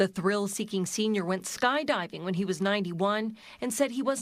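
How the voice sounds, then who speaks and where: Spoken at a fairly quick pace with ordinary pitch variation, this is an ordinary speaking voice. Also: woman. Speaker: TV news reporter. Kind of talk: TV news report narration.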